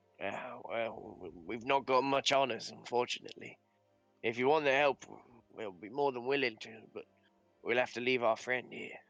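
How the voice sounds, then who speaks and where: In a put-on character voice, a man talks with a raspy, medium-pitched sound at a moderate pace, leaving long, frequent pauses. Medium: actual play. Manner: hesitant, polite, full of "uh".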